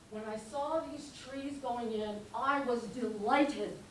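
With audible room echo and noticeable background noise, a woman with an American accent talks in a fairly high pitch. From upstate New York. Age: 60s. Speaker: local resident. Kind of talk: public comment at meeting. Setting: town board meeting.

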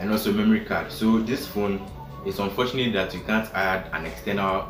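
Behind a man's voice, clear music plays in the background. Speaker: tech vlogger. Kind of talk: casual review vlog. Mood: cheerful, smiling. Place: home room. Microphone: phone near.

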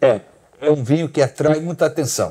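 A man speaking at a moderate pace. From Argentina, raised partly in Brazil and the US. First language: English and Portuguese (bilingual) (speaking Portuguese). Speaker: winery CEO. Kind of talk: casual interview about wine. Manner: halting, with many hesitations.

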